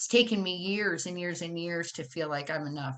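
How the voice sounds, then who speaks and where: Loud and fairly quick, a woman speaks at a fairly low pitch with ordinary variation and a bright, sharp tone over a quiet background. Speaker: social worker and harm reduction advocate. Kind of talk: conference presentation. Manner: animated.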